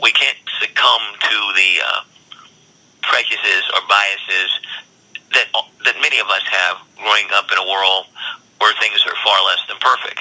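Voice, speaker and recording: An American accent with long, frequent pauses over noticeable background noise. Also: man, moderate pace. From US South, Durham, North Carolina. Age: 60s. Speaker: state senator. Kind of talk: interview. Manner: frequent hesitations and repetitions.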